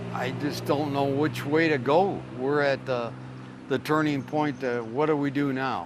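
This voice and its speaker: In a room with audible echo and noticeable background noise, a man speaks fairly slowly with a fairly high pitch and fairly even intonation. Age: 70s. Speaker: father of missing man. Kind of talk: interview.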